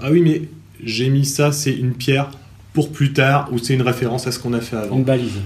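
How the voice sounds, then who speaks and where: A somewhat breathy man with medium pitch, ordinary pitch variation, and a fairly quick pace. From France, Normandy (Cherbourg). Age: 30s. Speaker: teacher and novelist. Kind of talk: interview. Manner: halting.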